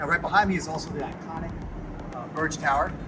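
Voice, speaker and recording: A man at a very fast pace, enthusiastic in tone, with noticeable background noise. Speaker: realtor. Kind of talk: property walkthrough tour. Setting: outdoors at pool deck. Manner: casual, enthusiastic.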